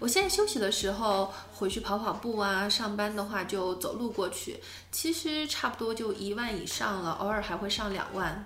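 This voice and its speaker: There is noticeable background noise as a woman speaks at a medium pitch and a moderate pace with ordinary pitch variation. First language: Mandarin Chinese. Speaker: podcast host teaching English. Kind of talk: casual bilingual language-lesson chat.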